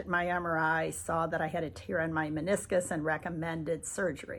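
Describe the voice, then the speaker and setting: Against a silent background in a very clean recording, a woman speaks with fairly low pitch and fairly even intonation. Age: 60s. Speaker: patient. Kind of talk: testimony. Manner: hesitant with fillers.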